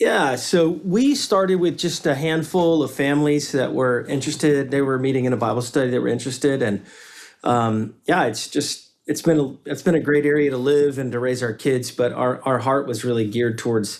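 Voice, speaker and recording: In a Southern US accent, a man speaks at a moderate pace with a medium pitch and ordinary pitch variation. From US South, Western North Carolina. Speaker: pastor and business founder. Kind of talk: casual interview.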